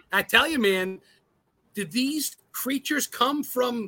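A man speaks in a raised, projected voice at an extremely high pitch, with a bright, sharp tone and lively intonation. His animated delivery comes through with a dry, close sound and no echo. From New England. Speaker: guest co-host, ghost hunter YouTuber. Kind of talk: casual chat.

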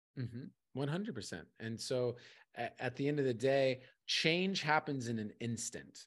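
Against a quiet background, a man with an American accent has an unremarkable speaking voice, medium in pitch with ordinary pitch variation, at a moderate pace. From California and Arizona, US. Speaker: poet and coach. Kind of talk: casual interview.

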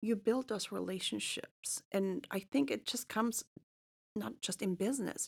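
A woman talks at a fairly high pitch with vocal fry. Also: ordinary pitch variation, moderate pace. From Germany (Munich). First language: German. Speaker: real estate advisor. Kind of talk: casual chat. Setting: studio.

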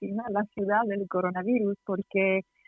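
Woman with an Italian accent and a fairly high pitch. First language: Italian (speaking Spanish). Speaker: tour guide. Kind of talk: interview. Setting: phone call. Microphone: poor connection.

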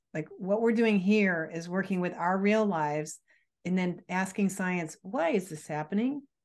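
A woman talks in a normal speaking voice at a medium pitch and moderate pace. Her pitch varies an ordinary amount against a quiet background. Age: 50s. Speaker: nutritionist and author. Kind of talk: casual chat.

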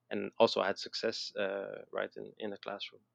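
Recorded in a dry, close sound with no echo, a man speaks at a moderate pace with a slight French Canadian accent. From Quebec, Montreal. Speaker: educational concept designer, former teacher. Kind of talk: interview. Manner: halting, many fillers and repetitions.

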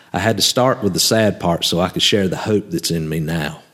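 A man talks with lively intonation. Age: 30s. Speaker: faith podcaster. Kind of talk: casual monologue; reading own writing aloud. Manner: hesitant with many fillers.

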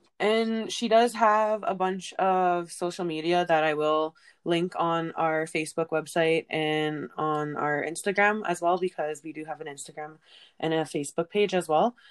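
A woman speaks at a fairly low pitch with ordinary pitch variation. Her pace is moderate. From central Alberta, Canada. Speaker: podcast host. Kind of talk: casual interview.

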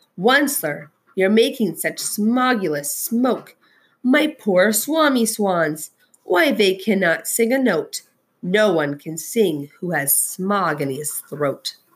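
A put-on, female-sounding character voice, wheezy and croaky, at medium pitch and a fairly slow pace. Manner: coughing, sniffling, pleading.

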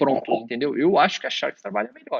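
Talking at a very fast pace with vocal fry, a man swings his pitch very widely in a dry, close sound with no echo. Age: 30s. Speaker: esports coach. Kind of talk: interview.

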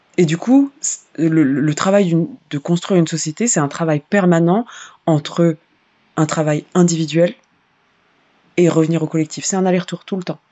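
A woman's fairly low voice with fairly even intonation at a moderate pace. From Paris suburbs, France. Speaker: singer and activist. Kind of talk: interview conversation.

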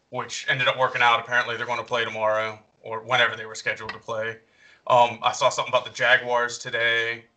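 A man's very fast speech in a Southern US accent, with big swings in loudness. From North Carolina. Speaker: podcast co-host. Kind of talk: casual chat.

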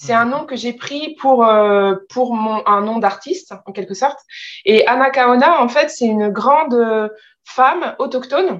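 A woman's high voice moves fairly slowly, rising and falling with ordinary pitch variation. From France. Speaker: translator and publisher. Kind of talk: interview.

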